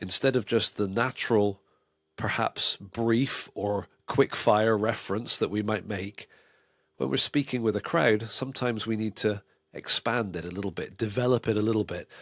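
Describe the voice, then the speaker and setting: A man's plain, everyday voice at a moderate pace with ordinary pitch variation, very clean recording and silent background, dry and close with no echo. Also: fairly low pitch for a man. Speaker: preaching teacher, podcast host. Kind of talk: podcast talk on preaching delivery. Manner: conversational, natural.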